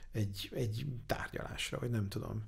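Against a quiet background, a man speaks at a fairly low pitch with ordinary pitch variation, his tone dark and mellow and somewhat breathy. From Hungary. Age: 40s. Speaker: angel investor; interview guest. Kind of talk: interview. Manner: halting. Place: studio. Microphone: studio mic.

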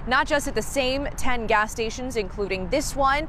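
Light background noise sits under a dry sound with no echo as the voice keeps a moderate pace. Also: woman. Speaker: TV news reporter. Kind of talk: news stand-up report. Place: street.

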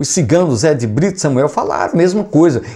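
A fairly high-pitched man with vocal fry, very wide pitch swings and a moderate pace. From Brazil. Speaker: YouTube music commentator. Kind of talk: casual vlog commentary. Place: home room. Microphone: lapel.

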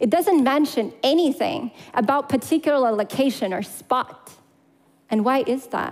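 A woman speaks in a high voice with lively intonation. The background is quiet. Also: moderate pace. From Crimea, Ukraine. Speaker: public speaker. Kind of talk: prepared talk. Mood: earnest, emotional. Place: stage. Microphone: headset.

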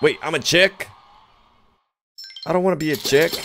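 Music in the background behind a man talking at a fairly quick pace. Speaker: gaming YouTuber. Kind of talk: gameplay commentary. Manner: animated.

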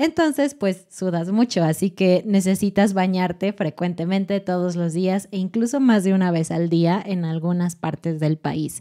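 Against a quiet background, a woman with a dark, mellow tone speaks at a fairly slow pace with ordinary pitch variation and hardly any pauses. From Mexico City. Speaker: Spanish teaching podcast host; podcast co-host. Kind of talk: educational casual chat. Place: studio. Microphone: studio mic.

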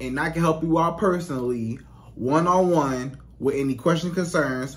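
Talking at a fairly quick pace, the man lets his pitch vary in an ordinary way. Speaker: dating coach vlogger. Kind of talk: casual vlog chat. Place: home room. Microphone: studio mic.

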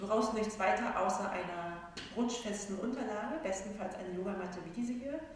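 In a room with strong echo and light background noise, a woman speaks at a moderate pace with fairly even intonation. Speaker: yoga instructor. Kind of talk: calm class introduction. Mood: calm, soothing. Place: hall. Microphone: camera far.

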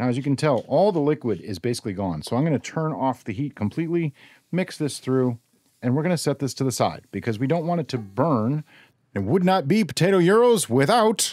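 Over a quiet background, a man talks at a fairly quick pace, the sound dry with no echo. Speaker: home cook host. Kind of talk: cooking tutorial. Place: kitchen.

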